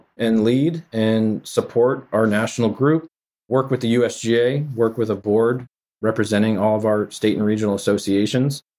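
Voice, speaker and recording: A man's normal speaking voice with an American accent, medium in pitch, at a fairly quick pace, with ordinary pitch variation, very even loudness, and a very clean recording over a silent background. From Massachusetts, Framingham. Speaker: golf association executive. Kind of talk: casual interview.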